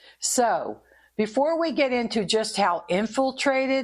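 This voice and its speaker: An ordinary speaking voice from a woman, fairly slow in pace with lively intonation, over a quiet background. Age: 60s. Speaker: podcast host, former investigator. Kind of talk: podcast monologue. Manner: conversational.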